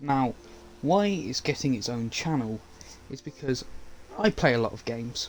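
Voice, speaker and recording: Intonation is lively, and loudness swings widely. Long pauses come often. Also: man, medium pitch for a man. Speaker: gaming and media YouTuber. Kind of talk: casual livestream update. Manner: fast.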